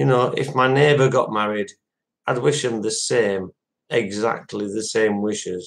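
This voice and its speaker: A man with a Yorkshire accent speaks at a fairly slow pace and a medium pitch, with ordinary pitch variation. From West Yorkshire, Dewsbury. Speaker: live streamer. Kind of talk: casual chat.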